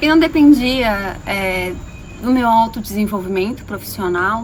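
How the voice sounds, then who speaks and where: Over noticeable background noise, a woman talks at a fairly slow pace with a fairly high pitch and ordinary pitch variation. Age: 30s. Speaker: holistic therapist and coach. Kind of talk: personal video monologue.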